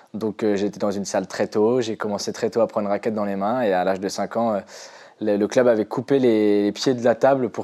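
A dark, mellow tone carries fairly even intonation at a fairly quick pace. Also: man. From western France, near Nantes. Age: 20s. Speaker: para table tennis player. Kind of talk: interview.

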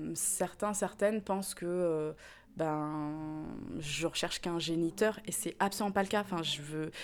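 A normal speaking voice from a woman, fairly low in pitch, fairly slow and fairly even in intonation, on a very clean recording with a silent background. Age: 30s. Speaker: interviewee. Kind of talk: testimony.

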